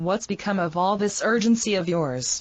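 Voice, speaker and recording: In a put-on character voice, someone growls at a moderate pace with ordinary pitch variation. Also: woman. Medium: read story. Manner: brusque, commanding.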